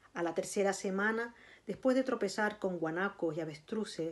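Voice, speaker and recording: With a Canarian accent, a woman talks at a moderate pace and ordinary pitch variation. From Canary Islands, Tenerife. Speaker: writer and librarian. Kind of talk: reading aloud of a literary narrative passage, after a casual introduction. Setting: video recording for a virtual recital. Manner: measured, narrative reading with a storytelling cadence; halting, repeating words in the intro. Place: home room. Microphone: phone near.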